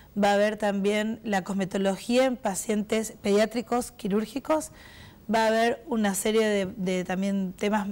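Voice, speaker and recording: On a very clean recording with a silent background, a woman with an ordinary speaking voice talks at a moderate pace. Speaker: president of a professional cosmetology association. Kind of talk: TV interview.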